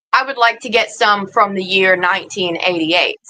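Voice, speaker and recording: Speaking at a moderate pace, a woman has a plain, everyday voice with ordinary pitch variation. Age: 30s. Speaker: crochet livestreamer. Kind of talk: casual chat.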